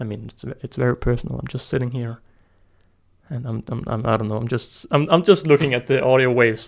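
With a Danish accent, a man speaks at a fairly quick pace, his loudness swinging widely. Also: medium pitch for a man, ordinary pitch variation. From Denmark. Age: 20s. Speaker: ant-keeper and YouTuber. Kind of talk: casual solo monologue. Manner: fast.

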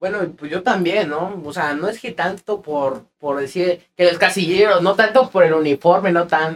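At a moderate pace with hardly any pauses, a man with a Mexican accent speaks in a high voice with ordinary pitch variation. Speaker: podcast co-host. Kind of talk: casual chat.

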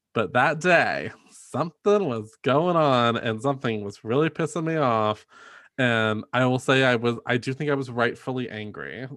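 Ordinary pitch variation runs through this voice with an American accent. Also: man, medium pitch for a man, moderate pace, quiet background. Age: 30s. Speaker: podcast host. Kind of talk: casual chat. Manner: animated.

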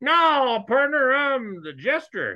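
A man puts on a character voice at an extremely high pitch, with a South Texas accent as part of the act. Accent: Southern Texas. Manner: playful, comic.

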